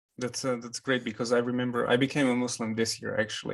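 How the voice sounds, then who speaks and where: A man's medium-pitched voice with a non-native accent, fairly quick in pace and monotone, with flat intonation. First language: not English. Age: 30s. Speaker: interviewer, convert to Islam. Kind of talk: interview.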